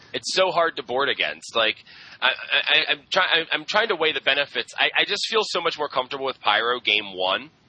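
This man speaks at a moderate pace in a fairly high pitch, with vocal fry and very wide pitch swings. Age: 20s. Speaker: podcast co-host. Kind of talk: casual chat.

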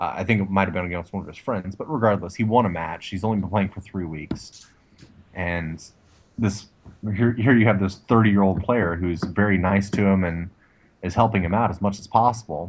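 Speaking with an American accent, a man uses an ordinary speaking voice pitched fairly low. He talks at a fairly quick pace, with ordinary pitch variation and big swings in loudness. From Texas. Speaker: former Navy nuclear electrician, podcast co-host. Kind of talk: casual banter, comedic podcast chat.

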